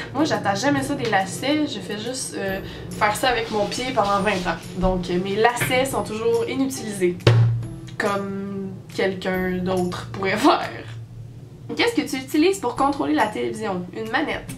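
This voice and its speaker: Against clear background music, a woman speaks at a moderate pace with very wide pitch swings. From Quebec, Canada. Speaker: vlogger. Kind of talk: casual talk to camera. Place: home room. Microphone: webcam.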